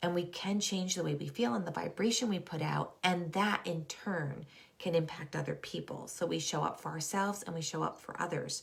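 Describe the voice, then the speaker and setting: Noticeable background noise sits behind a woman who speaks at a moderate tempo. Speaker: school counselor and wellness coach. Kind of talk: live online talk. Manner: casual, filler-heavy.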